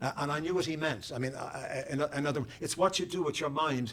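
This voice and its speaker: A man with an Irish accent talks at a fairly quick pace with ordinary pitch variation. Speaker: poet. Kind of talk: audience Q&A. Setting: public talk with audience. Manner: halting, many repeated words.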